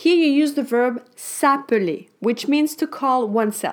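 At a very slow pace, a woman speaks with a French accent. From France. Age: 30s. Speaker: French teacher. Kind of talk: language lesson. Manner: animated.

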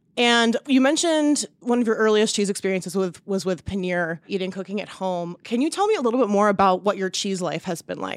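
Speaking fast with hardly any pauses, a woman with an American accent uses an unremarkable speaking voice at a medium pitch, her intonation lively and her pace fairly quick. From US South (Raleigh, North Carolina). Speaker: podcast host, cheesemonger. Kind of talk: interview. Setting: hotel room.

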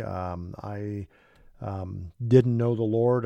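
Over a quiet background, a man talks with a dark, mellow tone and ordinary pitch variation. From Kansas, US. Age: 60s. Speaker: Bible teacher and former missionary. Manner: hesitant with many filler words, slightly nervous.

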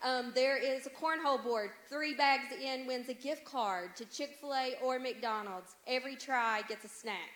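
A woman speaks in a high register. The rise and fall of her pitch is normal. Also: fairly slow pace, hardly any pauses. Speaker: college ministry leader. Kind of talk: announcement.

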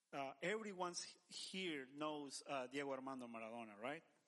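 A man with a Spanish accent speaks fairly slowly at a fairly high pitch with ordinary pitch variation. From El Salvador. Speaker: church men's director. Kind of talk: casual interview.

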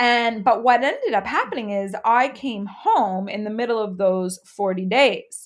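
With a Canadian accent, a woman talks at a fairly slow pace in a fairly high voice with ordinary pitch variation. It is an ordinary speaking voice. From Canada, Halifax. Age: 30s. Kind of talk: casual chat.

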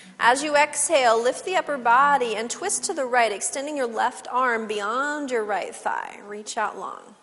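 Calm and playful in tone, a woman speaks with a high pitch and lively intonation over noticeable background noise. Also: moderate pace, hardly any pauses. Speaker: yoga instructor. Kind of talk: guided yoga class cueing breath-linked poses. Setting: studio class with participants. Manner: playful aside with laughter amid steady cues; calm, measured instructional pacing tied to breath.

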